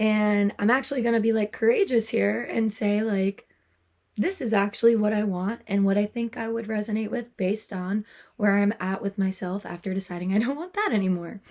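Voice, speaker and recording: Soft-spoken, a woman talks at a fairly quick pace with fairly even intonation. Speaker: tarot reader. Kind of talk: soft-spoken tarot reading to camera; casual talk to camera. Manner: soft-spoken, quiet.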